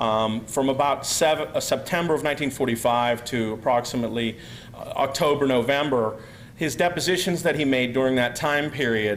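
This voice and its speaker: Amid noticeable background noise and audible room echo, a man speaks at a moderate pace in a medium pitch with ordinary pitch variation. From US, Pennsylvania. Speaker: researcher, speaker. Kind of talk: conference talk. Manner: halting, many fillers.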